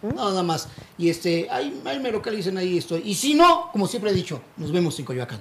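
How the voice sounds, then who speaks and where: A man's high-pitched voice, fairly quick and lively in intonation, over noticeable background noise. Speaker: street comedian. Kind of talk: casual chat. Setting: live show with small audience.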